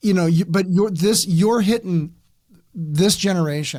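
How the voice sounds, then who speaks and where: A man with an American accent talks at a moderate pace, his pitch varying an ordinary amount. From Southern California. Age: 50s. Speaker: podcast host. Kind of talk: interview. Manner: halting.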